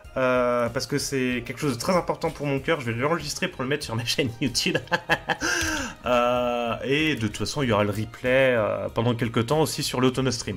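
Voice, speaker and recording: With music in the background, a man in a western French accent talks at a moderate pace, at medium pitch with ordinary pitch variation. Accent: western France. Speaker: radio host. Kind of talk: tutorial. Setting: live stream.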